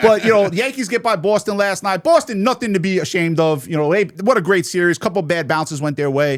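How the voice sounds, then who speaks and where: Hardly pausing at all, a man with a New York accent rattles along at a very fast pace in a high pitch with lively intonation. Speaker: sports betting radio and podcast host. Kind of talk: casual chat. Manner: animated.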